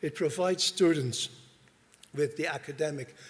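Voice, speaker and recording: This man has a fairly high pitch, a somewhat breathy voice, and a Dutch accent. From Netherlands. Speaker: university dean. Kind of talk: conference presentation. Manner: formal.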